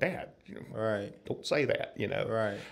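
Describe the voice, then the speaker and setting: A man with an American accent at a very fast pace, with audible room echo. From US South, North Florida. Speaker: musician and guitar builder. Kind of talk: interview.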